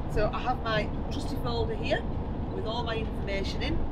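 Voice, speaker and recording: Loud background noise fills the clip. Over it, a woman talks at a moderate pace. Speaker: travel vlogger. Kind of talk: casual vlog chat. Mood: cheerful, excited. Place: car. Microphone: camera far.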